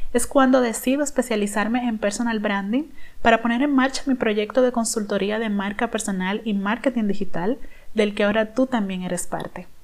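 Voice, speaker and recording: A woman's fairly high voice, an ordinary speaking voice, at a moderate pace with fairly even intonation. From Dominican Republic. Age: 30s. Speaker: personal branding consultant, podcast host. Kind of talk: podcast monologue, personal story.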